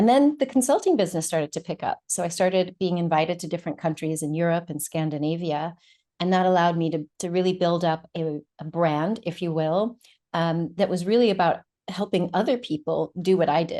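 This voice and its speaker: Against a quiet background, a woman talks at a fairly quick pace with a fairly low pitch, ordinary pitch variation, and a dark, mellow tone. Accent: American. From United States. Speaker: doctor and therapist. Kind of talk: interview.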